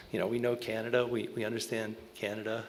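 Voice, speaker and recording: A man with a medium-pitched voice and an American accent, very fast pace, audible room echo. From Alaska. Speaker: conservation strategist. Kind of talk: panel talk. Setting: stage with audience. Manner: loud.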